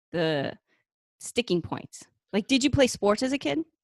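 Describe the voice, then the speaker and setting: A woman with a Boston accent, lively intonation and a moderate pace, against a quiet background. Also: dry, close sound with no echo. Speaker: podcast co-host, personal trainer. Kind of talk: casual chat, interview.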